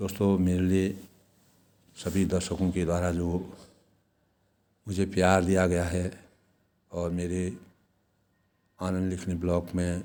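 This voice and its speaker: Within audible room echo, a man speaks at a very deep, low pitch with a dark, mellow tone. His intonation is monotone and flat, with long, frequent pauses. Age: 60s. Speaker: vlogger. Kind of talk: motivational vlog talk. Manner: formal.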